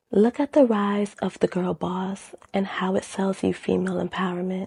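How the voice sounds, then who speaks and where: Medium-pitched woman's voice, dark and mellow in tone and somewhat breathy, at a moderate pace, with a dry, close sound and no echo. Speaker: video essayist on love and feminism. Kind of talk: video essay commentary.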